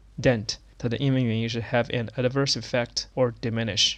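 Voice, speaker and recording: A man speaks with a Chinese accent at a medium pitch. His intonation is flat and monotone. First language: Mandarin Chinese. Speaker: podcast host teaching English through news. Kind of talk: bilingual lesson explanation; news reading.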